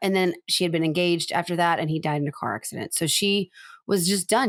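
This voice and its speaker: A woman's medium-pitched voice with an animated tone, ordinary pitch variation and a fairly quick pace, in a very clean recording with a silent background. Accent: Southern US. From US South. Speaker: podcast co-host. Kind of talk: casual chat. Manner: fast.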